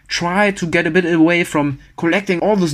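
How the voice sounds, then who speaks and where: Over a silent background in a very clean recording, a man with a German accent talks with fairly even intonation. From Germany. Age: 30s. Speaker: engineer and social media personality. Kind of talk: podcast interview. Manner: fast.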